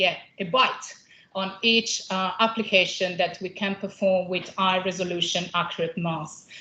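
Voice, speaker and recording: Woman with an Italian accent and fairly even intonation. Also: medium pitch for a woman, moderate pace. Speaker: company scientist presenting at a conference. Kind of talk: conference presentation. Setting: conference room with audience. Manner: hesitant, many fillers.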